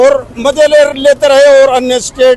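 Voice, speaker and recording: A man speaks at an extremely high pitch with fairly even intonation. Noticeable background noise runs underneath. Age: 60s. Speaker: villager. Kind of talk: vox pop interview.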